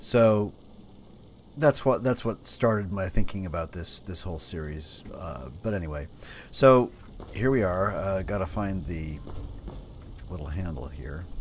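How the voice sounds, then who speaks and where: Fairly slow, somewhat breathy speech with lively intonation and long, frequent pauses. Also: man, very deep, low pitch for a man, big swings in loudness. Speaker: gaming YouTuber. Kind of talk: let's play commentary. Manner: hesitant, many ums and ahs; halting, repeats words.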